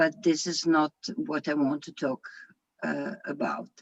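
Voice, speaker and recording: A woman's fairly low voice with a non-native accent, fairly even intonation and a dry, close sound with no echo. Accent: foreign accent, own remark. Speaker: equestrian program founder and riding instructor. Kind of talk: lecture. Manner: halting, many fillers.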